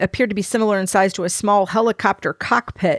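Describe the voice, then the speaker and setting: A woman speaks loudly at a medium pitch and a very fast pace. The sound is dry and close, with no echo. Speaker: paranormal podcast co-host. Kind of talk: reading documents aloud with commentary.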